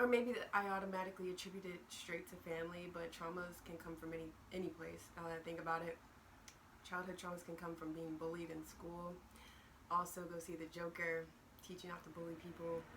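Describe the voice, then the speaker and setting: Amid noticeable background noise and audible room echo, a woman talks at a fairly quick pace and fairly low pitch, her intonation monotone and flat. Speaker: video blogger. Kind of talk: casual chat. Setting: at home, morning.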